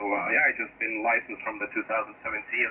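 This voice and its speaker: A man speaks with a Lithuanian accent. Background noise is noticeable. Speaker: amateur radio operator. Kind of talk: ham radio contact. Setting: radio transmission.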